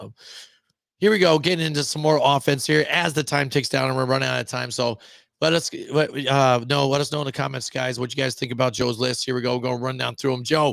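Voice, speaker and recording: With fairly even intonation and a medium pitch, a man talks at a very fast pace. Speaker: sports podcast host. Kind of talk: casual chat.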